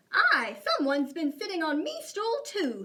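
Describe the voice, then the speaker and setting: A woman performs a put-on character voice at an extremely high pitch. Her pitch swings very widely, and her pace is moderate. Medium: read story. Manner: growling, muttering.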